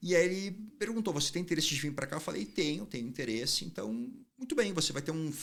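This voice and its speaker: Speaking with a southern Brazilian accent, the voice swings very widely in pitch. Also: man. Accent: southern Brazilian (gaúcho). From southern Brazil, Porto Alegre. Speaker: urologist, fertility doctor. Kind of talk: interview conversation.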